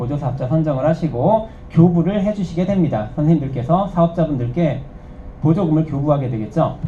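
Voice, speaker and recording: With audible room echo and noticeable background noise, a man with a fairly high pitch talks at a fairly quick pace with lively intonation. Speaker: instructor. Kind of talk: lecture. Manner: fast.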